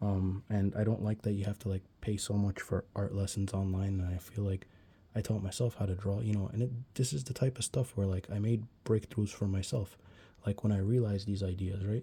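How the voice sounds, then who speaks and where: A somewhat breathy man's voice, fairly low in pitch, with monotone, flat intonation, on a very clean recording with a silent background. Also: fairly quick pace. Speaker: art tutorial youtuber. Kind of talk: tutorial. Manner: fast; casual, many fillers.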